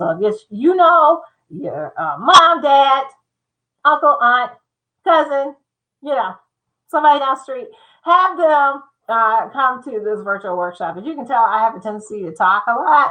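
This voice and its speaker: A woman's high, raised, projected voice with an American accent, bright and sharp in tone, with very wide pitch swings, big swings in loudness, a moderate pace and long, frequent pauses. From Michigan. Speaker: insurance consultant. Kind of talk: livestream talk. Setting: livestream.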